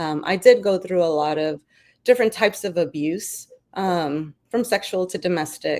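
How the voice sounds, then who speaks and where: A woman with a New York accent at a fairly low pitch, ordinary pitch variation and a moderate pace, in a very clean recording with a silent background. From New York City, Brooklyn. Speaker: army veteran and business founder. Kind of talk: interview.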